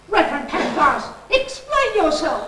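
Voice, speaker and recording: In a put-on character voice, a woman sounds squeaky and theatrical, with very wide pitch swings, a moderate pace and a slight echo. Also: extremely high pitch for a woman. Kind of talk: comic overacting. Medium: audio drama. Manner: haughty, theatrical.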